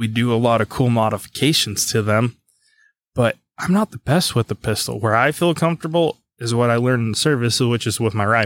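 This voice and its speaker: A man talks in a normal speaking voice at a moderate pace. The recording is very clean and dry, close with no echo, over a silent background. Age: 20s. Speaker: gunsmith and gun shop owner, military veteran. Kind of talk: casual chat.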